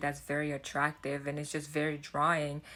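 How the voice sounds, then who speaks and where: A woman's voice is very deep and low in pitch, with a bright, sharp tone. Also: very clean recording, silent background. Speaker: self-development YouTuber. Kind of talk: casual vlog talk. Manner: halting, with fillers and restarts.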